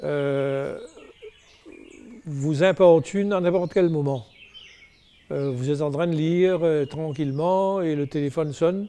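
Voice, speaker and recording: Noticeable background noise sits behind a man with a fairly high pitch and ordinary variation. He speaks at a very slow pace with long, frequent pauses. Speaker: novelist. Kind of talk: interview. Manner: hesitant, many fillers.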